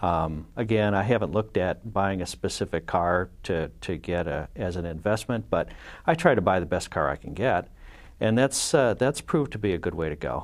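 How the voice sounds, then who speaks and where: In a very clean recording with a silent background, a man with a very deep, low pitch speaks with lively intonation. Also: moderate pace. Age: 50s. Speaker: car collector and performance engineering executive. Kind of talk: casual chat. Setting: studio. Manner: halting, many fillers.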